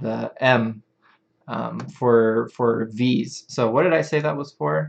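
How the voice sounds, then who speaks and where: A man mumbles at a very slow pace. His intonation is lively. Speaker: animation tutorial streamer. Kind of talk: live stream tutorial. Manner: mumbling; casual conversational.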